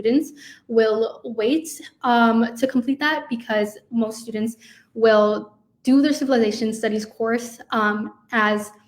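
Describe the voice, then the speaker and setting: A woman speaks with a Spanish accent in a fairly high, somewhat breathy voice. Her pitch variation is ordinary. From Chicago, US Midwest. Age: 20s. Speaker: university student, intern. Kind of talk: info session presentation. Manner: hesitant, many fillers.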